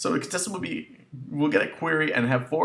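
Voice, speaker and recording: Lively intonation marks a man speaking at a very fast pace. Noticeable background noise runs behind him. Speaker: gaming YouTuber. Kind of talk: casual talk to camera.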